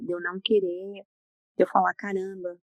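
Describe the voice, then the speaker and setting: The voice belongs to a soft-spoken woman. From Brazil. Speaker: psychologist. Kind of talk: interview. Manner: slow.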